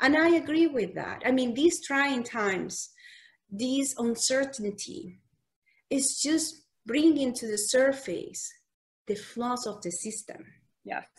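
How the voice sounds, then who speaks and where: A woman speaks very slowly in a Spanish accent, with a high pitch, lively intonation and big swings in loudness. She leaves long, frequent pauses, and the background is quiet. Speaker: physician. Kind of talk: casual chat.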